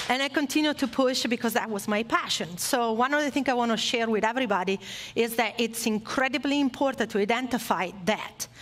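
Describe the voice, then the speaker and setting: In an Italian accent, a woman talks at a fairly quick pace with a fairly high pitch, ordinary pitch variation and very even loudness. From Italy. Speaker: former motorcycle racer, esports industry speaker. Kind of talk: motivational talk to audience. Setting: stage with live audience, streamed online.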